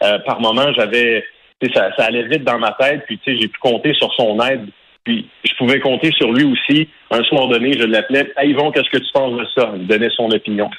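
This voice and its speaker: With a Quebec accent, a man speaks at a moderate pace. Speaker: hockey play-by-play announcer. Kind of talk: testimony.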